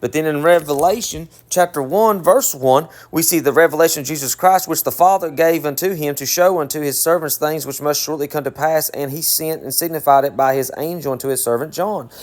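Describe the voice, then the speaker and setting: Speaking at a fairly quick pace in a Southern US accent, a man with a fairly high pitch shows ordinary pitch variation. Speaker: bible teacher. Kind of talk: bible teaching. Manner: casual, conversational.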